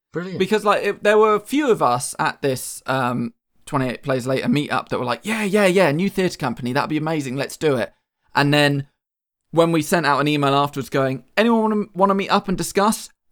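A man talks at a fairly quick pace with lively intonation. His pitch sits fairly high. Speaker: playwright. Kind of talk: casual interview. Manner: animated, joking.

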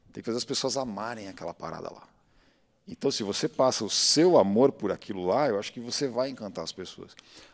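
With an unremarkable speaking voice at medium pitch, a man moves at a fairly quick pace, his intonation lively and his loudness swinging widely. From Brazil, São Paulo. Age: 40s. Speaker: diver, biologist and sailor. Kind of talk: casual chat.

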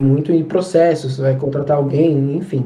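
A dark, mellow voice talks at a fairly quick pace amid audible room echo. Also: man. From Brazil, São Paulo. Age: 20s. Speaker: ethical hacker. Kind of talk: casual chat. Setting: video call.

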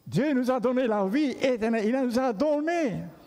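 In a room with audible echo, a man speaks very slowly in an extremely high pitch with a dark, mellow tone. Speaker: pastor. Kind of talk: sermon.

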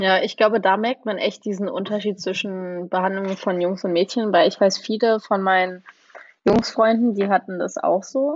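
A woman with a normal speaking voice talks at a moderate pace, her medium pitch held in fairly even intonation. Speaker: former exchange student. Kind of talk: casual chat.

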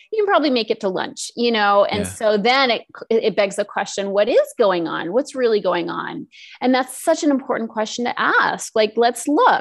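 The speaker has a plain, everyday voice with lively intonation. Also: woman, fairly high pitch for a woman, moderate pace. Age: 50s. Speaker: emotional eating coach. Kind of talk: interview.

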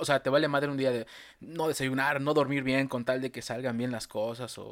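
Recorded very cleanly against a silent background, a man with a Mexican accent speaks at a fairly quick pace in a medium pitch with monotone, flat intonation. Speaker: podcast host. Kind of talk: casual chat.

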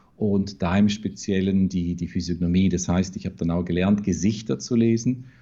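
Fairly low, dark, and mellow male voice at a moderate pace with ordinary pitch variation. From Vorarlberg, Austria (Bregenzerwald). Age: 40s. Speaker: recruitment consultant and trainer. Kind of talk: interview.

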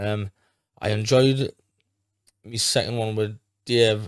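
Animated tone from a man at medium pitch, dry and close with no echo, on a very clean recording with a silent background. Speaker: bare knuckle boxer. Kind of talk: casual podcast interview. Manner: animated, swears a lot.

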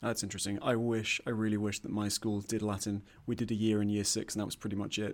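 Speaking very fast, a man has a fairly low pitch. His intonation is monotone and flat. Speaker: podcast co-host, graduate student. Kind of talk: interview.

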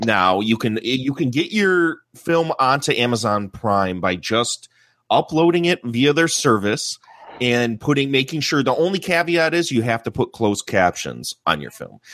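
A man with an unremarkable speaking voice talks at a moderate pace and medium pitch, with lively intonation, in a dry, close sound with no echo. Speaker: movie podcaster. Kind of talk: casual group discussion.

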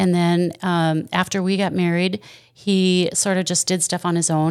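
A plain, everyday voice at a moderate pace, fairly even in intonation, on a very clean recording with a silent background. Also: woman. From Wisconsin. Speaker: store owner. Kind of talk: casual interview. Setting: in the store.

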